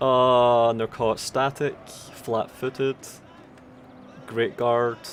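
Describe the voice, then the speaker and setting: Very slowly and in a monotone, flat intonation, a man with a Scottish accent and a medium pitch speaks. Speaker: game tournament commentator. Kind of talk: live commentary.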